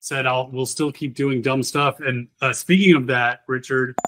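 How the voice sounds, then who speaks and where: This man has a plain, everyday voice at a medium pitch. He keeps a moderate pace and fairly even intonation. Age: 50s. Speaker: game developer. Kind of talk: casual chat. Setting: livestream.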